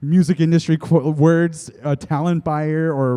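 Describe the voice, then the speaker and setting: The man's voice has a dark, mellow tone. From Blackfoot community, Siksika, Alberta, Canada. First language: Blackfoot. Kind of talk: panel discussion. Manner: halting with repetitions.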